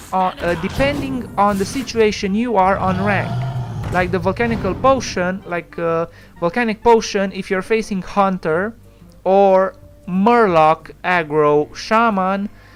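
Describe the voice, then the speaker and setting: The pace of the speech is fairly slow. Behind it, music can be heard. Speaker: gaming YouTuber. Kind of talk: gameplay commentary. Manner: halting with fillers.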